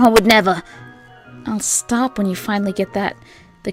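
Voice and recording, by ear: Someone is reading aloud in a natural voice. Their intonation remains fairly even.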